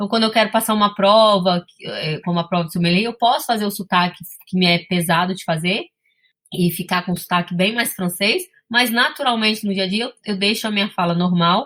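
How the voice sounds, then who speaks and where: A woman with a medium pitch talks at a fairly quick pace, her pitch varying in an ordinary way. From Brazil, Espírito Santo. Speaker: sommelier and business owner. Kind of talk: interview.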